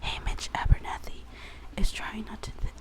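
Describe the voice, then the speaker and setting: A whisper at a moderate pace amid noticeable background noise. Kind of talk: reading book blurb aloud. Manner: whispered.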